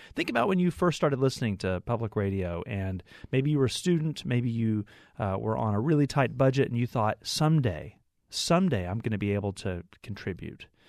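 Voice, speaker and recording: A man with an unremarkable speaking voice. He talks at a fairly quick pace with lively intonation. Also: medium pitch for a man. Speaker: public radio fundraiser. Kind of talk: radio pledge drive chat. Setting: studio.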